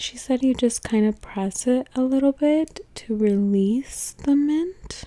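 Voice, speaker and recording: Soft-spoken and very slow, a woman talks with a dark, mellow tone and lively intonation. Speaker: ASMR content creator. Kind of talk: vlog-style narration to camera, ASMR.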